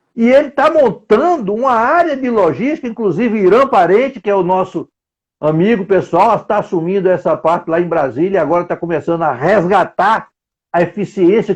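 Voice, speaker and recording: High-pitched male speech with lively intonation at a moderate pace. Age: 70s. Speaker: logistics consultant and instructor. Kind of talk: live stream interview. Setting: home office, online live.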